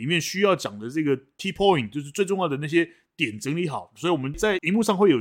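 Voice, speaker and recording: On a very clean recording with a silent background, a man talks at a fairly quick pace in a fairly high pitch, with lively intonation and an animated tone. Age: 50s. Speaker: podcast co-host, forum moderator. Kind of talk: casual chat.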